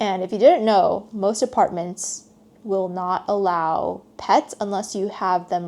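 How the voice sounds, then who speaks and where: A dark, mellow tone from a woman. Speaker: podcast host. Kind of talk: casual monologue podcast. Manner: slow.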